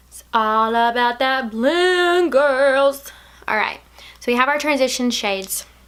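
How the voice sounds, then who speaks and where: A woman with an American accent at a fairly slow pace, amid noticeable background noise. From Alabama, US South. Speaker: beauty vlogger. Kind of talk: makeup tutorial. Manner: casual, chatty.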